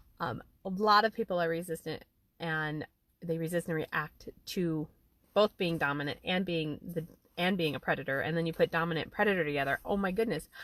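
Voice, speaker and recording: At a fairly quick pace, a woman talks in a fairly low pitch with ordinary pitch variation, the sound dry and close with no echo. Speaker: life coach hosting a live stream. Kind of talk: casual live stream talk. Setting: outdoors in a parked car. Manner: fast.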